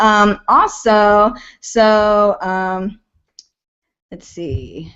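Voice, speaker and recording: An animated woman's voice at a medium pitch with ordinary pitch variation and an American accent. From Idaho. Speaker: online marketing coach. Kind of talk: live webinar training. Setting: live webinar.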